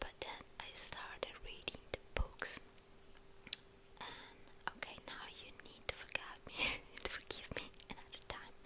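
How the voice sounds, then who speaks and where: Noticeable background noise is heard in the clip. A woman whispers over it at a fairly slow pace. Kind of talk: ASMR chat. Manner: whispered, soft-spoken.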